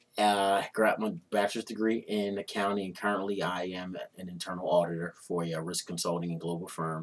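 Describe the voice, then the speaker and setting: A man talks at a fairly quick pace with an American accent. His very deep, low voice stays monotone, with flat intonation. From West Philadelphia; Philadelphia. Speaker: internal auditor, fraternity foundation treasurer; interview guest. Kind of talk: interview. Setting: studio. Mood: relaxed, warm. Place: studio.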